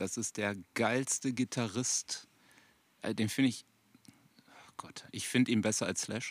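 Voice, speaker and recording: A man's flat, monotone voice at medium pitch and a very slow pace, with long, frequent pauses and big swings in loudness, in a dry, close sound with no echo. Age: 40s. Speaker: rock guitarist. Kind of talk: casual chat. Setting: outdoors in a garden at a grill.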